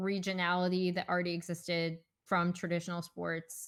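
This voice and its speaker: A woman with a slight northern US accent at a fairly slow pace, on a very clean recording with a silent background. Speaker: esports podcast host. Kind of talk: casual chat.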